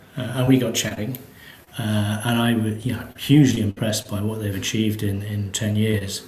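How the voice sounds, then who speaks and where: Over noticeable background noise and audible room echo, a man with a fairly low pitch speaks at a moderate pace in a monotone, flat intonation. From Britain. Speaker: space agency executive. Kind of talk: interview. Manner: hesitant, many fillers.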